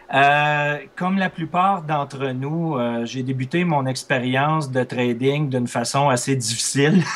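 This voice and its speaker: Someone with a Quebec accent speaks at a very slow pace with hardly any pauses and ordinary pitch variation, over noticeable background noise. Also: man, fairly high pitch for a man. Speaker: trader and trading instructor. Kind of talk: interview.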